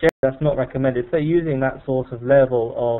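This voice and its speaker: Speaking with a British accent, a man uses a medium pitch and fairly even intonation. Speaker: pharmacy trainer. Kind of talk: webinar presentation. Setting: online webinar. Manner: fast; halting, many fillers.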